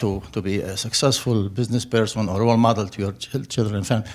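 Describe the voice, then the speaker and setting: Speaking at a very fast pace, a man with an Arabic accent keeps a fairly low pitch and fairly even intonation. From Middle East (Turkey or Syria). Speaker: audience member asking a question. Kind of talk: audience question at public forum. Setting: public forum with audience. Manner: halting.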